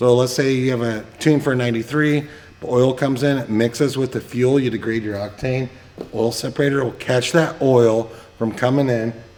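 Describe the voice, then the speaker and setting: Noticeable background noise sits behind a man talking at a fairly quick pace with a medium pitch. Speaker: performance car parts shop owner. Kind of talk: sales pitch walkthrough. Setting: shop and warehouse. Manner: fast; animated.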